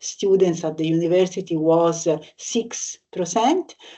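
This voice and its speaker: This woman talks at a fairly slow pace in an Italian accent. Her pitch varies in an ordinary way. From Italy. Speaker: computer science professor. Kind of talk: panel discussion.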